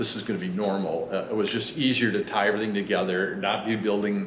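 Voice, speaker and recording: A man with a medium pitch talks at a fairly quick pace, with audible room echo and noticeable background noise. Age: 60s. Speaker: home builder. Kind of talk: casual interview.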